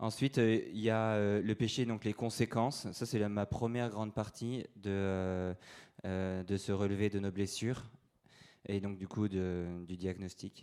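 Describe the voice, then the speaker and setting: A man speaks fairly slowly at a fairly low pitch with fairly even intonation. The recording is very clean, with a silent background. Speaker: priest giving a talk. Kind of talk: lecture. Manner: halting, many fillers.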